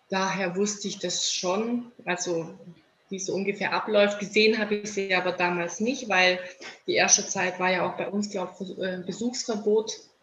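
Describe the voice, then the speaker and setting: With audible room echo, a woman speaks at a moderate pace in a monotone, flat intonation. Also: medium pitch for a woman. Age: 30s. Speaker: mother of premature babies. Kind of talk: interview. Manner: halting, many filler words.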